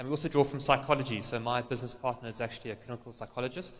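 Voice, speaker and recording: A man's voice at medium pitch, with fairly even intonation. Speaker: marketing consultant and business owner. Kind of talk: conference presentation. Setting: stage with audience. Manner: fast; hesitant, many fillers.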